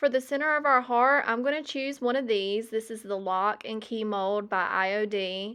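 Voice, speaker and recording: In an American accent, a woman with a bright, sharp tone and fairly high pitch talks at a moderate pace with hardly any pauses and ordinary pitch variation, against a quiet background. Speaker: craft tutorial host. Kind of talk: DIY tutorial voiceover. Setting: recorded voiceover.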